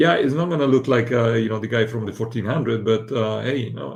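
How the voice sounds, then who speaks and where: With a somewhat breathy tone, a man talks in a medium register, his pitch rising and falling in an ordinary way. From Italy. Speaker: AI and future-of-work commentator. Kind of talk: casual panel discussion. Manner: halting with frequent fillers.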